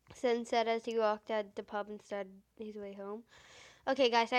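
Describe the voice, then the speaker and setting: Her loudness swings widely as this woman speaks quickly enough, in a fairly high pitch with monotone, flat intonation. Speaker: story narrator, reading fan fiction aloud. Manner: reading a story aloud as narrator.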